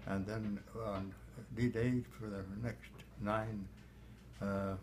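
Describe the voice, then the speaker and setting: Somewhat breathy, this voice varies its pitch in an ordinary way. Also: man. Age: 80s+. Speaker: war veteran, former fighter pilot. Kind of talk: interview answer.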